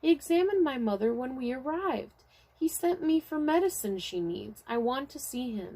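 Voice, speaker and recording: The speaker uses a put-on character voice, high-pitched and at a moderate pace. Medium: read story. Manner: insistent.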